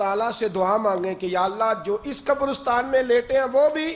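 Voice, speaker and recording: Very wide pitch swings run through what the man says. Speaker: Islamic preacher / religious speaker. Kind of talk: Islamic sermon (bayan) to an audience. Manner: passionate, emotional, conversational.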